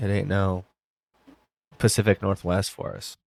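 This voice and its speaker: With an American accent, a man speaks at a moderate pace and fairly even intonation on a very clean recording with a silent background. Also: dry, close sound with no echo. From Arizona (Tucson). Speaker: podcast co-host. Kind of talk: casual chat.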